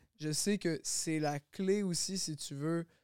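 A man with a fairly high pitch speaks in an ordinary speaking voice with fairly even intonation. The sound is dry and close with no echo, on a very clean recording with a silent background. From Quebec, Longueuil. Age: 20s. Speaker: singer. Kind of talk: casual chat.

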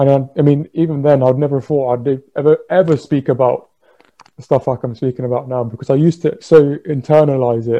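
With an ordinary speaking voice, a man talks at a fairly quick pace and fairly high pitch, keeping his intonation fairly even. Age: 20s. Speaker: mental health podcast host. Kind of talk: casual chat.

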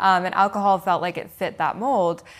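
This is an ordinary speaking voice with an American accent. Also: woman. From US West Coast (Seattle, Washington). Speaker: founder of a non-alcoholic drinks business. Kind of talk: interview.

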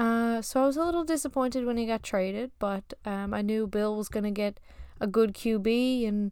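This woman has a normal speaking voice, fairly high in pitch, with fairly even intonation at a moderate pace. The recording is very clean, with a silent background. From Newfoundland, Canada. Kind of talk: casual monologue. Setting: recording in a closet. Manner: casual, filler-heavy.

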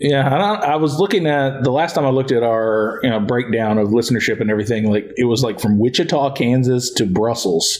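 Over noticeable background noise, a man talks at a fairly quick pace with hardly any pauses, very even loudness and ordinary pitch variation. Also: medium pitch for a man. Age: 30s. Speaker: podcast host and teacher. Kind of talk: casual chat. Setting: studio.

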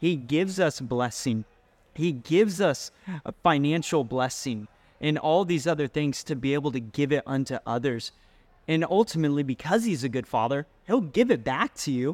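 In a normal speaking voice at a moderate pace, the speaker comes through a very clean recording with a silent background and a dry, close sound with no echo. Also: man, fairly high pitch for a man, lively intonation. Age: 20s. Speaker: youth pastor. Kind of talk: testimony.

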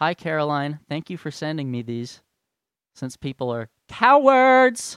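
Speaking at a moderate pace with an American accent, this voice swings very widely in pitch, recorded very cleanly against a silent background with a dry, close sound and no echo. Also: man. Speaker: podcast host. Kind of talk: solo rant.

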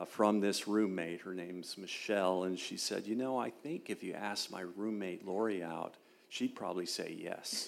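With a normal speaking voice, a man talks at fairly low pitch and keeps his intonation fairly even. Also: moderate pace. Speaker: retired military officer and law professor. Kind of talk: testimony in an interview.

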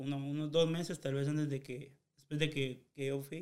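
With a fairly high pitch and fairly even intonation, a man's speech moves at a moderate pace. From Guatemala, Chiquimula. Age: 20s. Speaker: podcast co-host. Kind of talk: casual chat.

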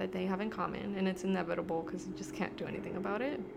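Noticeable background noise runs under this recording. A woman with an American accent speaks at a very fast pace. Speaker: podcast host. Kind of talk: casual chat. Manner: filler-heavy, hesitant.

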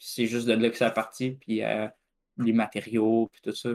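Medium-pitched male speech with a Quebec accent, monotone and flat, on a very clean recording with a silent background. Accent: Québécois French. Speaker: esports team co-owner. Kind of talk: casual chat.

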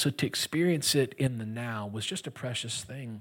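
In an American accent, a man with an ordinary speaking voice and medium pitch talks at a fairly quick pace in a very clean recording with a silent background. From US Gulf Coast. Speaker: guest pastor. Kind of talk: sermon. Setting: church, stage with audience.

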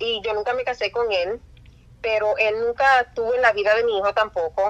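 A woman with an ordinary speaking voice, a fairly high pitch, ordinary pitch variation and a fairly quick pace. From Puerto Rico. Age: 40s. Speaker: nurse. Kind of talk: testimony.

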